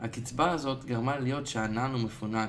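Audible room echo surrounds the voice. It moves at a moderate pace with fairly even intonation. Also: man. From Israel. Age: young. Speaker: coaching client and musician. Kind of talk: personal diary monologue.

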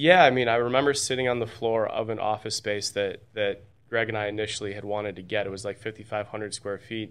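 A man's fairly low voice at a very fast pace, hardly any pauses, fairly even intonation, and a quiet background. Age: 30s. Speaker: insurance agent and agency builder. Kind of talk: casual interview.

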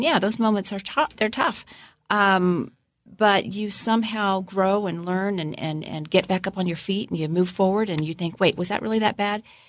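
In an American accent, a woman with an unremarkable speaking voice talks at a moderate pace and medium pitch, with fairly even intonation over a quiet background. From Florida. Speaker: politician's wife. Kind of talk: casual interview.

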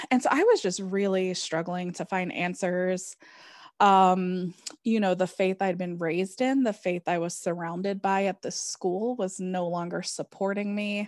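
A woman speaks in an ordinary speaking voice of medium pitch at a fairly slow pace. Her intonation is fairly even, and the recording is very clean, with a silent background. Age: 30s. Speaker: tarot reader and author. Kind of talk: interview conversation.

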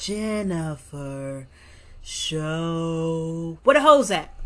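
A woman with an American accent, very slow, with very wide swings in pitch. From New York, Brooklyn. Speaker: podcast co-host. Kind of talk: casual chat.

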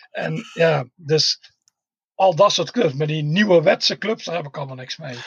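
A man with a plain, everyday voice speaks at a moderate pace, his pitch fairly high with ordinary variation. His loudness swings widely, and the sound is dry and close with no echo. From Tilburg, southern Netherlands. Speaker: football fan, groundhopper. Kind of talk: casual chat.

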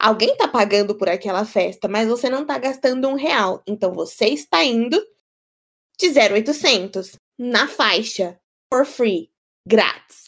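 Speaking at a fairly slow pace, a woman uses a fairly high pitch with an animated tone and lively intonation. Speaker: podcast co-host. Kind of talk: casual chat.

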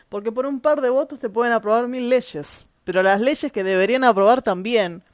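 With an animated tone and lively intonation, a woman at a fairly high pitch speaks at a moderate pace on a very clean recording with a silent background. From Chile. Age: 30s. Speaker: podcaster. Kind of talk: opinion monologue.

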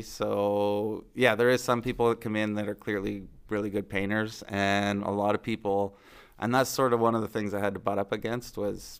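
A man with a Maritime Canadian accent, fairly low in pitch, fairly even in intonation, at a moderate pace, on a very clean recording with a silent background. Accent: Canadian (Maritimes). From New Brunswick, Canada (Fredericton). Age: 40s. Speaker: small business owner, former plumber. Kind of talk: interview. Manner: casual, hesitant with fillers.

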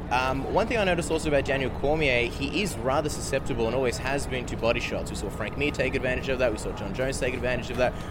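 Over noticeable background noise, a man talks at a very fast pace with hardly any pauses, his medium pitch showing ordinary variation. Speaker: MMA journalist, podcaster. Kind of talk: post-fight discussion.

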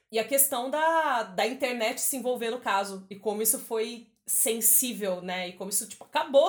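At a fairly quick pace, a woman talks in an ordinary speaking voice with ordinary pitch variation. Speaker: podcast host. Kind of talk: casual chat.

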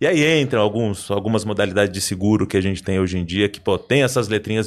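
A man with an unremarkable speaking voice talks fairly quickly, with ordinary pitch variation. The recording is very clean, with a silent background. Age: 40s. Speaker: insurance broker. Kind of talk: casual chat.

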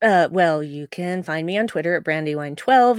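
With an American accent, a woman speaks in a very clean recording against a silent background. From US West, Utah. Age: 40s. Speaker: podcast co-host. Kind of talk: casual chat.

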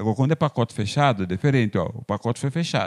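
On a very clean recording with a silent background, a man talks at a fairly quick pace, the sound dry and close with no echo. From Brazil, São Paulo state countryside (Porto Feliz). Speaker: street vendor. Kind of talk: interview.

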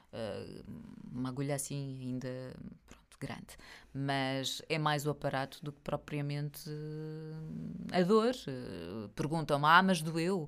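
A woman with a European Portuguese accent speaks at a very slow pace in a very deep, low pitch, with ordinary pitch variation and big swings in loudness. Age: 40s. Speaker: podcast host. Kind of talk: casual chat. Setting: home office studio.

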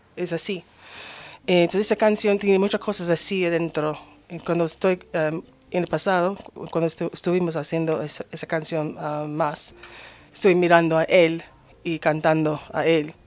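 A woman speaks at a moderate pace with fairly even intonation and a fairly low pitch. Her speech has long, frequent pauses. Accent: English. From United States. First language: English (speaking Spanish). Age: 50s. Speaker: singer. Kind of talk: radio interview. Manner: halting.

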